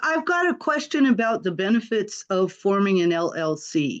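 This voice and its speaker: With very wide pitch swings, a woman speaks at a fairly slow pace in a fairly high pitch. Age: 60s. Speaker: independent planner, attendee. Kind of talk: question in webinar.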